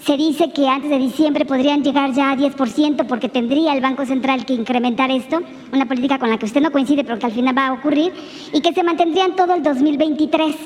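The delivery moves at a fairly quick pace. Noticeable background noise can be heard behind it. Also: woman, high pitch for a woman, fairly even intonation. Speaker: journalist. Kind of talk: press conference question.

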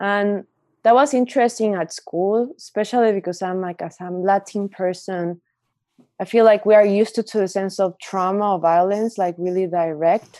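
Speaking with a Spanish accent, a woman uses a dark, mellow tone at medium pitch, with fairly even intonation and a moderate pace, on a very clean recording with a silent background. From Mexico. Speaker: artist. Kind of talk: casual chat.

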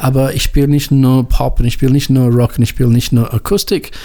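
A man with a non-native accent speaks in a dark, mellow tone. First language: English (speaking German). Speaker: radio host and music editor. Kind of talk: radio show presenting. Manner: halting, many filler sounds.

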